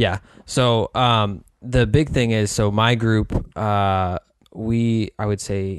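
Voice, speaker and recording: This man speaks in a fairly low pitch with fairly even intonation and a plain, everyday voice against a quiet background. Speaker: podcast host. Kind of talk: casual conversational podcast.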